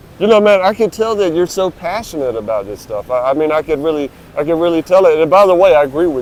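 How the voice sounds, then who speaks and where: A man talks at a very fast pace with hardly any pauses, his high voice rising and falling in a lively way over noticeable background noise. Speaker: YouTube interviewer. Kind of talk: casual interview questions.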